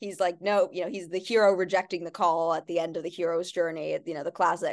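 A woman speaks at medium pitch in a New York accent. She talks at a fairly quick pace against a quiet background. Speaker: podcast host. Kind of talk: casual chat.

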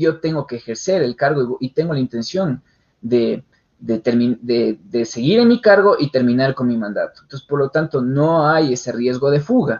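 A man has an unremarkable speaking voice at medium pitch, with ordinary pitch variation at a moderate pace. The sound is dry and close, with no echo. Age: young. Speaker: criminal lawyer. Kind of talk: interview on legal topic. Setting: online radio show.

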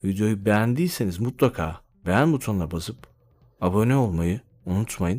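A man speaks at a moderate pace in a fairly low pitch, with a dark, mellow tone and lively intonation. The recording is very clean, with a silent background. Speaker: podcaster. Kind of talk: solo monologue.

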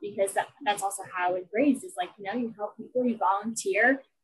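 A woman speaks in a somewhat breathy voice. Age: 20s. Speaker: blogger. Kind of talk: interview. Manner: bubbly.

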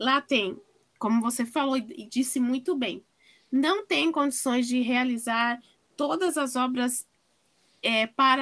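A woman with a high voice talks at a very slow pace. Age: 40s. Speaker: audio description consultant. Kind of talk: interview.

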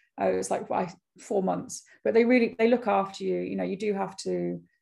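Fairly quick delivery from a woman with a British accent. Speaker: fashion business founder. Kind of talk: casual interview. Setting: podcast interview. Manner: fast talker.

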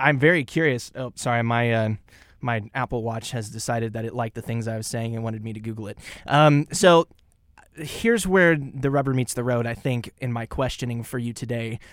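Recorded very cleanly against a silent background, a man with a Midwestern American accent speaks at medium pitch with ordinary pitch variation and big swings in loudness. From Kansas, Topeka. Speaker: college radio host. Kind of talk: radio talk show. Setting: college radio studio.

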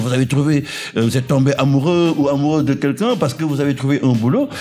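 Music plays in the background as a man talks. His pitch is fairly high and his pace fairly quick. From Senegal. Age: 50s. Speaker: anthropologist, social worker and musician. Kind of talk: radio interview. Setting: studio.

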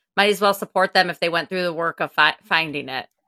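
The woman's voice is fairly low in pitch, with a bright, sharp tone and ordinary pitch variation. The sound is dry and close with no echo, on a very clean recording over a silent background. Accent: Wisconsin. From Wisconsin, US. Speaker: podcast host. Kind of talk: interview chat.

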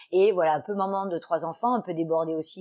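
Using an ordinary speaking voice, a woman talks at a fairly quick pace with a fairly low pitch and ordinary pitch variation. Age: 40s. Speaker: entrepreneur. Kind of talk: interview.

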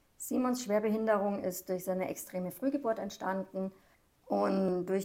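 Here a woman uses an ordinary speaking voice at a medium pitch. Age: 40s. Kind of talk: casual chat.

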